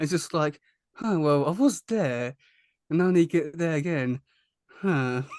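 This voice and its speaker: Fairly high-pitched, a man in a strong British accent speaks at a fairly slow pace. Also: ordinary pitch variation. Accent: thick British. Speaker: YouTuber and podcast host. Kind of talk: casual interview chat. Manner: halting, many repetitions.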